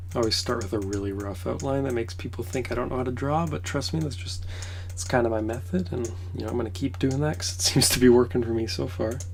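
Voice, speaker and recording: A quiet man's very deep, low voice at a very fast pace, with ordinary pitch variation, noticeable background noise and audible room echo. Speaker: pixel art streamer. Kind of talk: casual livestream commentary. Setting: in a trailer on a trip.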